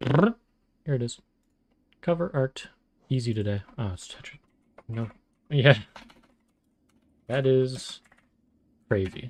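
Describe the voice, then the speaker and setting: In a somewhat breathy, medium-pitched voice with ordinary pitch variation, a man talks at a very slow pace, with big swings in loudness and long, frequent pauses. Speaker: vtuber streamer. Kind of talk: casual gaming stream chat. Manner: relaxed, chill.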